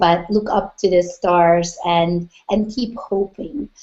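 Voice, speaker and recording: A woman's medium-pitched voice with a Hungarian accent, at a very slow pace. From Hungary. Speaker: business coach. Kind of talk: interview.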